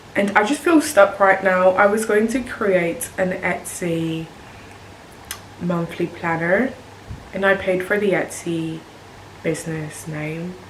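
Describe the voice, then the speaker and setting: A woman with a British accent and a medium pitch speaks at a very slow pace, with long, frequent pauses. Audible room echo and noticeable background noise are present. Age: 20s. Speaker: nurse and video creator. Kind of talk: casual vlog talk to camera. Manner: monotone.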